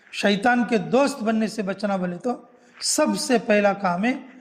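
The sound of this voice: High-pitched, a man's voice comes through with audible room echo. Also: ordinary pitch variation, fairly slow pace.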